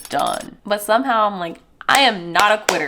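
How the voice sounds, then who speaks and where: A woman speaks in an animated tone at a moderate pace. Her pitch variation is ordinary. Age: 20s. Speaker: fitness vlogger and mother. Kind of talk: casual vlog review.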